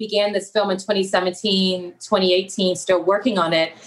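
In a plain, everyday voice, an American-accented woman — wait, with an American accent, a woman of medium pitch speaks at a fairly slow pace. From South Central Los Angeles. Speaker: documentary filmmaker and photographer. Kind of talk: interview conversation.

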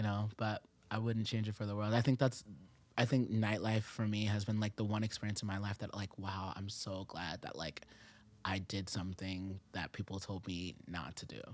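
In a plain, everyday voice with an American accent, a man talks at a moderate pace, his fairly low pitch held to fairly even intonation on a very clean recording with a silent background. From Japan and US military bases. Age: 20s. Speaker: rapper and singer. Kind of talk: casual chat. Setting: studio.

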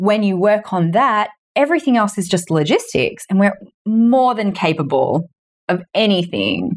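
A woman with an unremarkable speaking voice talks at a moderate pace, her intonation lively and her loudness very even. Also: medium pitch for a woman. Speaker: author and business mentor. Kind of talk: interview conversation.

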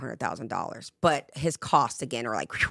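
A woman with an American accent and vocal fry talks at a very fast pace with lively intonation, in a dry, close sound with no echo on a very clean recording with a silent background. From England, Jamaican-British heritage. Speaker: former casino host and mindset coach. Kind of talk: casual interview chat.

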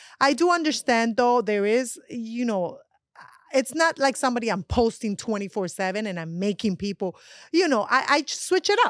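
A woman in a Colombian accent, fairly high-pitched, with lively intonation at a moderate pace. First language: Spanish. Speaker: actress and magazine contributor. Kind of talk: casual chat. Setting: studio.

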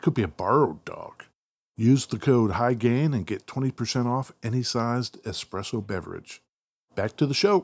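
In a very clean recording with a silent background, a man uses a normal speaking voice at a medium pitch, talking at a moderate pace with lively intonation. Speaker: podcast host. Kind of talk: casual chat.

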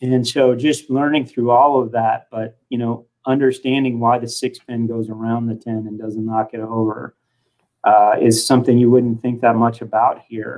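A man talks at a moderate pace in a monotone, flat delivery. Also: medium pitch for a man. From Kansas (Hutchinson). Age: 40s. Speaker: bowling organization executive. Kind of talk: podcast interview. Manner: halting, repeats words.

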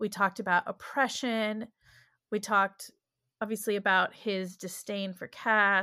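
A woman at a medium pitch, fairly slow and monotone with flat intonation, on a very clean recording with a silent background. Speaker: professor. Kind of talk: interview.

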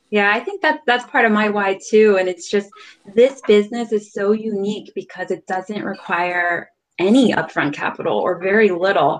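A woman talks at a moderate pace and medium pitch, with ordinary pitch variation. It is a normal speaking voice. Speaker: livestream host. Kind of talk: casual panel chat. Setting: video call livestream.

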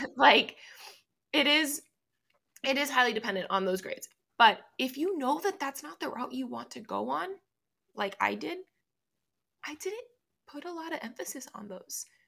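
High-pitched woman's raised, projected voice, bright and sharp, with very wide pitch swings, long, frequent pauses and a moderate pace. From Miami, Florida. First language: Spanish. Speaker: law student and podcaster. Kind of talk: casual interview.

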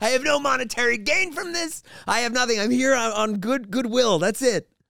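A raised, projected voice with a bright, sharp tone at a fairly quick pace. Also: man. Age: 50s. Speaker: comedian. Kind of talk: casual chat. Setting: studio. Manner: animated.

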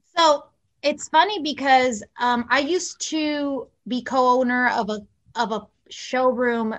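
A woman's fairly high voice in a General American accent. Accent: general American, near-native. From Mexico and southern California. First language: Spanish. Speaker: celebrity publicist. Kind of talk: casual interview chat.

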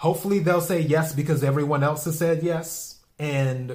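A man with a fairly high pitch talks at a moderate pace, his intonation fairly even and his voice somewhat breathy. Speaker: podcast host. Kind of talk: solo podcast monologue. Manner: rambling, repetitive.

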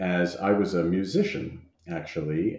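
A man's very deep, low voice with an American accent. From New Jersey, US. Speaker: anthropology professor and author. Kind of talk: interview. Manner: halting, many fillers.

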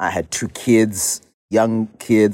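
A man's dark, mellow tone. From Zimbabwe. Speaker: pastor and activist. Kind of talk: interview.

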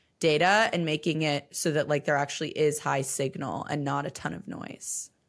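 A woman speaks at a moderate pace with very deep, low pitch and vocal fry. The recording is very clean, with a silent background. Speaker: podcast host. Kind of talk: casual interview chat.

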